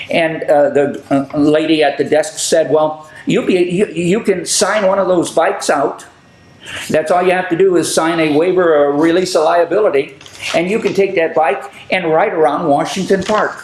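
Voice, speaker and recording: Over noticeable background noise, a man talks at a moderate pace in a high pitch, with ordinary pitch variation and very even loudness. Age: 80s+. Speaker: public access TV host. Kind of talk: casual chat. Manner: halting.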